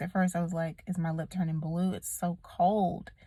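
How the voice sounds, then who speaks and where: Her recording is very clean, with a silent background. The woman speaks at a medium pitch, somewhat breathy and fairly slow, in a monotone, flat intonation. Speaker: vlogger. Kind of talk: casual vlog talk to camera. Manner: casual, conversational.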